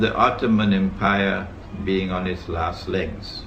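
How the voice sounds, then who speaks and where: A man speaks at a very slow pace amid audible room echo. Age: 70s. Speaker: Islamic scholar. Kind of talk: lecture. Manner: formal.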